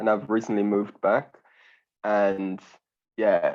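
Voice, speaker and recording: A man speaks at a moderate pace in a London accent, his pitch fairly low. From London, England. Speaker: complexity scientist. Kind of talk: casual chat. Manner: halting.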